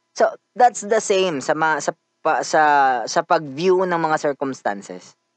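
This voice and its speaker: With a plain, everyday voice, a man speaks at a fairly high pitch and fairly slow pace, his intonation lively, in a dry, close sound with no echo. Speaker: podcast host. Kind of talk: casual monologue.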